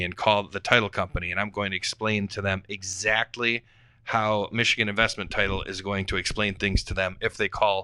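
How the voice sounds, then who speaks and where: A man speaks at a fairly low pitch and a fairly quick pace. The recording is very clean, with a silent background. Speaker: real estate investor. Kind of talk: podcast panel discussion. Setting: studio. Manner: fast; animated.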